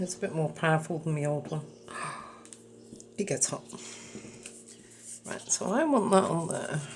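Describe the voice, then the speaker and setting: A woman with a very deep, low pitch and a somewhat breathy voice speaks at a moderate pace with ordinary pitch variation and long, frequent pauses. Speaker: craft video creator. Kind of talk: tutorial. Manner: casual, thinking aloud.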